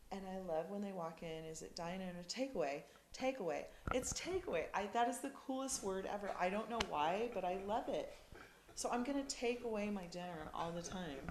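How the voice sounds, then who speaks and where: The speaker's intonation is lively, with audible room echo and noticeable background noise. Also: woman, medium pitch for a woman. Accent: American. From United States. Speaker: partner of a BMX racer. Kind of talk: casual interview. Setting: sit-down interview.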